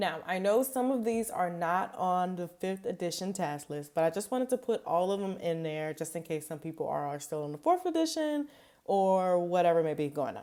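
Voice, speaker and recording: A woman's mid-pitched voice with a Louisiana accent, dark and mellow in tone, with hardly any pauses. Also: lively intonation, moderate pace. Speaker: behavior analyst. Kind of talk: study tutorial. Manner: casual, many fillers.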